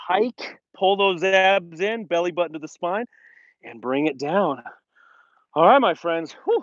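In a dry recording with no echo and a quiet background, a man speaks in a high pitch with ordinary variation. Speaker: fitness instructor. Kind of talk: workout instruction. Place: open country. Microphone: earbuds.

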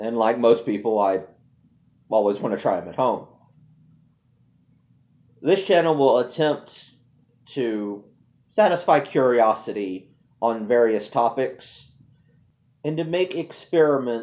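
Pausing long and often, a man speaks at a fairly slow pace. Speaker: channel host. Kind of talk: casual vlog chat. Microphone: phone near.

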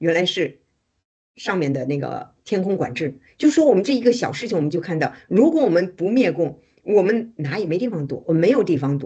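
A woman with a dark, mellow tone at medium pitch speaks at a fairly quick pace with very wide pitch swings against a quiet background. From China. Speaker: activist. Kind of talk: casual chat. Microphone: video call.

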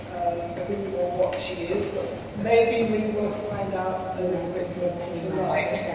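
At a fairly slow pace, the speech carries strong room echo and noticeable background noise. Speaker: biographer. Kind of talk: event moderator. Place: hall.

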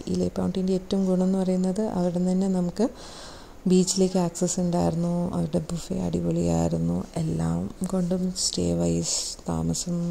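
A woman talks at a fairly quick pace in a fairly low pitch, with a dark, mellow tone and vocal fry. Her intonation is monotone and flat.

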